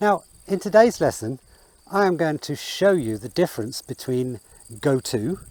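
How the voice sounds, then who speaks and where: With a British accent, a man talks at a fairly slow pace in a dark, mellow tone, his pitch swinging very widely, the sound dry and close with no echo. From England. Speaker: English teacher. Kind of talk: English lesson to camera, outdoors. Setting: outdoors.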